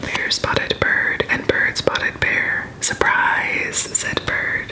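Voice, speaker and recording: A woman whispers in a calm tone. Background noise is noticeable. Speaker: ASMR creator. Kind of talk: bedtime story reading. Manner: whispered; soft-spoken, calm.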